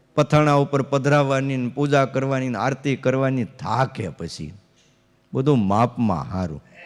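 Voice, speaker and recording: With medium pitch and ordinary pitch variation, the man has an ordinary speaking voice. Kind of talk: religious discourse.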